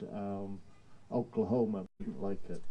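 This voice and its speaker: A man with an English accent speaks at a fairly slow pace and medium pitch, in a dark, mellow tone with fairly even intonation. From England, Portsmouth. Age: 70s. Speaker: theatre director. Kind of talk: casual interview. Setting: live outdoor show with audience.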